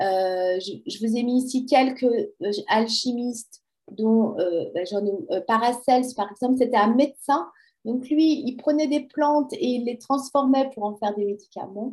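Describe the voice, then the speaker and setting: A woman's high pitch and lively intonation at a fairly slow pace. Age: 50s. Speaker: personal development coach. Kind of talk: interview. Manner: hesitant, many fillers.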